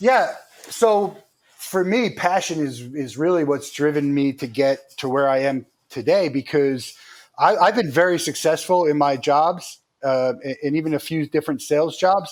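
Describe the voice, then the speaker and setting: A man with a plain, everyday voice speaks at fairly high pitch and a moderate pace, with lively intonation. The recording is very clean, with a silent background. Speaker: company founder and CEO. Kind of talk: interview.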